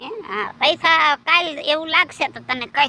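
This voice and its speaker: A woman uses a put-on character voice with a high pitch. She talks at a fairly slow pace. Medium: comedy sketch. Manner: hurried, fussy.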